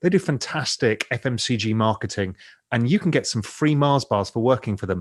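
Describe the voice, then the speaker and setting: Against a quiet background, a man with an English accent and medium pitch speaks at a fairly quick pace with lively intonation. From England. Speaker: investor and financial media founder. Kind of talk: podcast interview.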